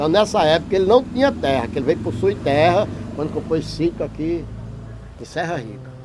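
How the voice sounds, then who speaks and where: A man with a fairly high voice talks at a fairly quick pace with very wide pitch swings over noticeable background noise. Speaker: interviewee, local resident. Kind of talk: oral history interview. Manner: clear diction, no stammer.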